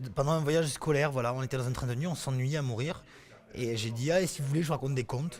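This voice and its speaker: Very fast speech from a man with a fairly high pitch and ordinary pitch variation. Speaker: storyteller. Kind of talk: casual interview answer about his storytelling career.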